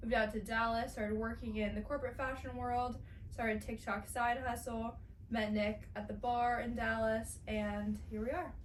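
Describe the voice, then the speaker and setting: Moderate-paced speech from a woman, with noticeable noise in the background and audible room echo. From Southern California, San Diego. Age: 20s. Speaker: podcast co-host. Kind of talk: casual chat.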